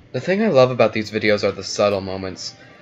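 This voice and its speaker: With music in the background, a man at a fairly low pitch talks very fast. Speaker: YouTube video reviewer. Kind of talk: spoken video review narration.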